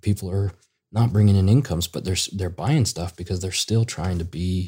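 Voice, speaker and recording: The voice is somewhat breathy with a dark, mellow tone, moving at a fairly quick pace with ordinary pitch variation on a very clean recording with a silent background. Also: man. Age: 30s. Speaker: children's book author. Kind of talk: casual interview.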